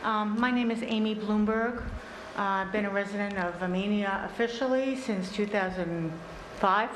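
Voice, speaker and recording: A woman's medium-pitched voice at a moderate pace, with fairly even intonation and very even loudness, audible room echo and noticeable background noise. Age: 60s. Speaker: resident giving public comment. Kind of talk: public comment at town meeting. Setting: town board meeting. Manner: halting, many fillers.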